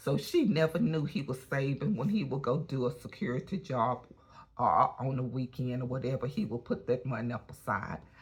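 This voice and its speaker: This woman has a very deep, low pitch and a somewhat breathy voice. Her intonation is lively at a moderate pace. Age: 60s. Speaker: lifestyle vlogger. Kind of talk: casual vlog monologue. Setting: at a gym. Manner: chatty, conversational.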